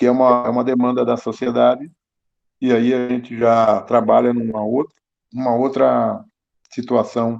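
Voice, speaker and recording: The speech moves at a moderate pace with long, frequent pauses. The intonation is monotone and flat. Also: man, medium pitch for a man. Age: 60s. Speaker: municipal culture official. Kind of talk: online council meeting discussion.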